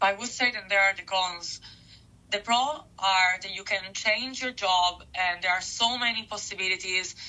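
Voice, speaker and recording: A woman with an Italian accent speaks at a moderate pace. Her pitch is medium and her intonation fairly even. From Italy, Milan. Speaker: interviewee, office worker abroad. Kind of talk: interview.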